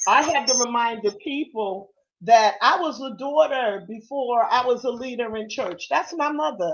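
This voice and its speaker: A high-pitched woman with lively intonation at a moderate pace. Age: 60s. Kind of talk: casual chat.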